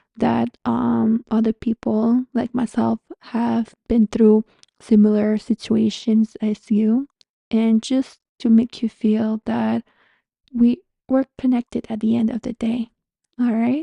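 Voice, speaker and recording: A woman's somewhat breathy, dark, mellow voice with a Montreal accent, fairly high in pitch, monotone and flat, at a very slow pace, dry and close with no echo. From Canada, Montreal. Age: 30s. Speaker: spiritual guide and podcast host. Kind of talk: casual podcast monologue. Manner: conversational, friendly.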